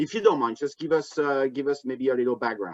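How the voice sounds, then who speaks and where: This man has a bright, sharp tone and fairly high pitch with ordinary variation, recorded with a dry, close sound and no echo. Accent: French. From France, Bordeaux. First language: French. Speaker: wine importer and tasting host. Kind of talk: hosted trade tasting over video call. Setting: video call. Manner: halting, many fillers.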